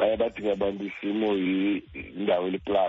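A man with a South African accent, moderate pace, and monotone, flat intonation. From Eastern Cape, South Africa. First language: Xhosa. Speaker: artist manager. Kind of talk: radio interview.

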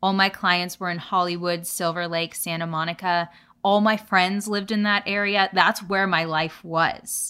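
On a very clean recording with a silent background, a woman with an American accent speaks at a moderate pace and medium pitch, her tone bright and sharp and her intonation monotone and flat. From Southern California, Orange County. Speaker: podcast co-host. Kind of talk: casual chat.

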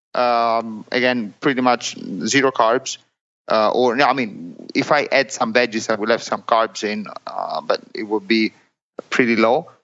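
Speaking with an Italian accent, a man at a medium pitch talks at a fairly slow pace with fairly even intonation. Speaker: amateur triathlete. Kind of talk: interview. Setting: remote call. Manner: halting.

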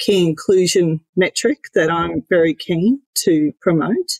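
Recorded dry and close with no echo, a woman with an Australian accent speaks at a fairly low pitch. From Queensland, Australia. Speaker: company CEO. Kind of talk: interview.

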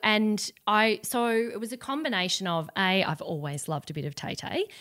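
A woman at medium pitch with an Australian accent, a bright, sharp tone, very wide pitch swings and a moderate pace, in a very clean recording with a silent background. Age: 40s. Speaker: entrepreneur. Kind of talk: interview.

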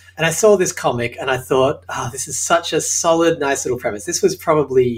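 A man talks at a very fast pace in an Australian accent. His voice is somewhat breathy. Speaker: sitcom writer and show creator. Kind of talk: interview. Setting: home apartment.

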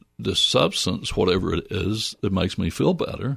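Music plays in the background while a man talks in an American accent. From US South, Northwest Georgia. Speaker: licensed mental health counselor. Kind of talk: interview. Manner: halting.

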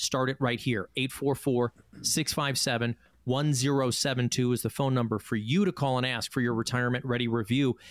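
An ordinary speaking voice from a man at medium pitch, fairly quick in pace, with fairly even intonation and very even loudness, in a dry, close sound with no echo and a very clean recording, silent background. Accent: American. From Chicago. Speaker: radio host. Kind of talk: radio talk show.

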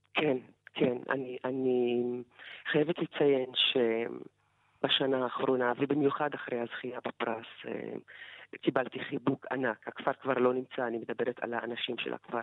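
Speaking at a fairly slow pace, a woman with a very deep, low voice keeps a monotone, flat intonation. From Negev Bedouin village, Israel. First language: Arabic (speaking Hebrew). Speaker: writer and poet. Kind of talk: interview.

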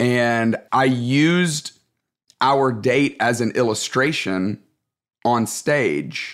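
With a Southern US accent, a man speaks at a very slow pace and medium pitch, with ordinary pitch variation and very even loudness. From Alabama, US South. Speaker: pastor and leadership author. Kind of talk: interview.

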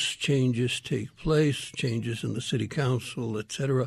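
At a fairly slow pace, a man with an American accent speaks at a medium pitch, somewhat breathy, with ordinary pitch variation. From Miami, Arizona (with stints in Mexico). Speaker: retired politician and activist. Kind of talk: radio interview. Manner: halting, many repetitions.

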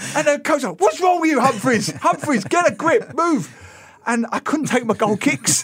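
Over noticeable background noise, a man with a London accent talks at a moderate pace in an extremely high pitch, his animated tone carrying very wide pitch swings. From London, England. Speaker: author and newspaper columnist. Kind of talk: casual radio chat.

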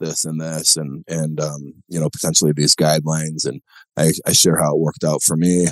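This man's voice sits very deep and low in pitch. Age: 40s. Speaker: venture capitalist and former college football player. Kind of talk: casual interview chat.

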